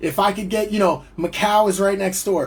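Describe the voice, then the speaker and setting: With a New Jersey accent, a man speaks at a high pitch. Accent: American (New Jersey). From New Jersey, US. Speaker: musician and entrepreneur. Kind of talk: livestream monologue. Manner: casual, rambling with fillers.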